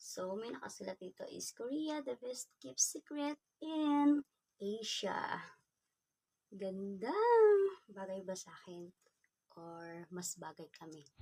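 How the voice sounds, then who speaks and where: Very slowly and with long, frequent pauses, a woman at a medium pitch speaks with very wide pitch swings and big swings in loudness, in a dry, close sound with no echo. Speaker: vlogger. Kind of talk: unboxing vlog. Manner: soft-spoken; casual.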